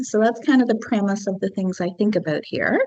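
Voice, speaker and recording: This woman's voice has a fairly high pitch and ordinary pitch variation. Noticeable background noise is present. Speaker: physics lab instructor. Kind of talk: lecture.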